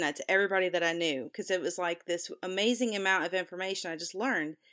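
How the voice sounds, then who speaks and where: With an American accent, a woman speaks at a fairly low pitch with ordinary pitch variation in an ordinary speaking voice, on a very clean recording with a silent background. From US South. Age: 40s. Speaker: podcast co-host. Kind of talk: casual chat. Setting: recording from her room.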